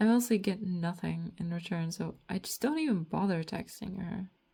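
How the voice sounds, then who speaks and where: A woman speaks at a moderate pace in a dark, mellow tone that is somewhat breathy, with ordinary pitch variation. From Latvia. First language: Latvian. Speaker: artist and comic author vlogger. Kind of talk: casual monologue vlog. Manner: rambling, hesitant with fillers.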